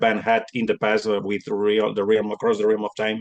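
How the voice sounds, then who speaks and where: With a Spanish accent, a man speaks at a medium pitch and with fairly even intonation. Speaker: metal musician. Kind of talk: interview. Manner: halting.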